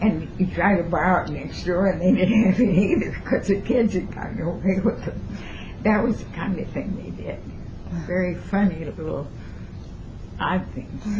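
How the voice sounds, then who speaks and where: Amid noticeable background noise and audible room echo, a woman at a medium pitch talks at a moderate pace with ordinary pitch variation, big swings in loudness, and long, frequent pauses. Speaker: retired teacher. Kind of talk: oral history interview. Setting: at her home.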